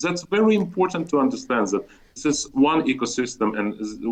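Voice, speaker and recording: The speaker has a Russian accent and a moderate pace. The pitch swings very widely. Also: man. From Azerbaijan, Baku (Soviet Union). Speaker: chess federation executive. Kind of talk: interview. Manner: animated, repetitive false starts.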